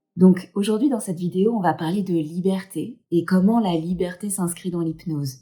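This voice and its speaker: Somewhat breathy and dark, mellow in tone, a woman speaks at a medium pitch and moderate pace with ordinary pitch variation and hardly any pauses. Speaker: hypnotherapist. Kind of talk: casual talk to camera.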